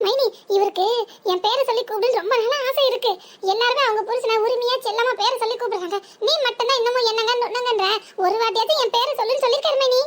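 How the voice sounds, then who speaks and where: A woman uses a cartoonish character voice at an extremely high pitch. Her loudness stays very even, and she moves at a fairly quick pace. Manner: sweet, bashful, teasing.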